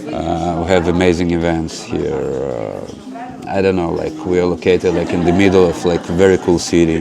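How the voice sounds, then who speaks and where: A man with a Russian accent and a very deep, low pitch, at a moderate pace with hardly any pauses and fairly even intonation, amid noticeable background noise and audible room echo. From Ukraine, then Israel from age ten. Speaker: spiritual center director. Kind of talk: interview. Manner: hesitant, many fillers.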